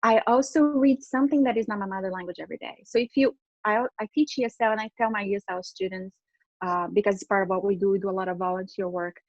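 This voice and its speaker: A woman at a medium pitch in a Portuguese accent, very fast in pace, with ordinary pitch variation. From Brazil. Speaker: interpreter and translation business owner. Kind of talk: interview.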